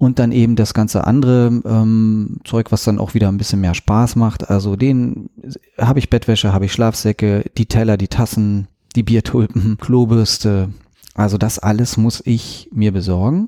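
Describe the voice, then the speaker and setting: A man speaks in a normal speaking voice at a moderate pace with fairly even intonation, the sound dry and close with no echo. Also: fairly low pitch for a man, very even loudness. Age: 40s. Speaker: podcast host and sailboat salesman. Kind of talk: casual interview conversation.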